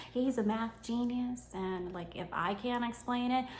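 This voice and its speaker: A woman's fairly high voice, animated in tone, with audible echo from the room. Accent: New York. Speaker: homeschooling mom and content creator. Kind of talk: sponsored tutorial vlog. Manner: casual, animated.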